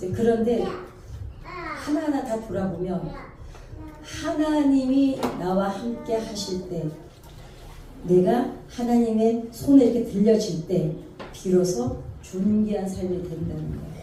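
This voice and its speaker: Speaking at a very slow pace, a woman leaves long, frequent pauses in a medium pitch. Noticeable background noise and audible room echo fill the recording. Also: lively intonation. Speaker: gospel singer and counselor. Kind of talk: testimony.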